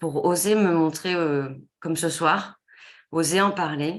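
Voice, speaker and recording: Pitched fairly low, the woman talks with ordinary variation in her pitch. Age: 30s. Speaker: consultant and coach. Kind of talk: webinar presentation. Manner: halting, many fillers.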